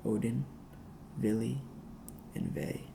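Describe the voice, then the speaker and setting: A man whispers at a very slow pace. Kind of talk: ASMR mythology reading. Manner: whispered, soft-spoken.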